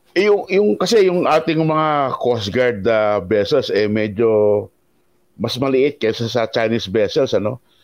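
A man at medium pitch speaks at a fairly slow pace, his loudness very even while his pitch swings very widely. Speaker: columnist, co-host. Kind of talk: interview.

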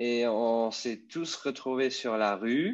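Against a quiet background, a man speaks at medium pitch. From Luxembourg. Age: 30s. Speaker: electric skateboard rider. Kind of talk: casual interview. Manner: halting.

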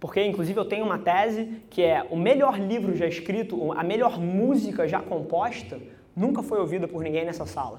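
The pace is moderate. Room echo is audible. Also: man, high pitch for a man, ordinary pitch variation. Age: 20s. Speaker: agency CEO. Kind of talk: keynote talk. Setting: stage with audience.

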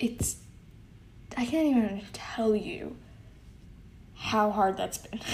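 Amid noticeable background noise, a woman with a fairly high pitch and ordinary pitch variation speaks at a very slow pace, with long, frequent pauses. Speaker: solo podcast host. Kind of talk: casual monologue. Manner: giggly, frequent laughs.

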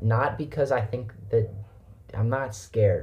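A dark, mellow tone with some breathiness and fairly even intonation marks this voice. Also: man. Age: 20s. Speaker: podcast co-host. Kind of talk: casual chat.

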